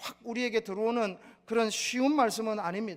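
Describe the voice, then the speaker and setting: His voice is high in pitch. This man keeps a moderate pace. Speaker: pastor. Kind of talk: sermon.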